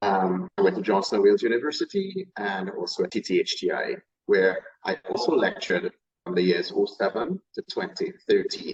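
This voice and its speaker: The man speaks with a Trinidadian accent at a moderate pace, in a dry, close sound with no echo. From Trinidad and Tobago. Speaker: chef. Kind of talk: interview.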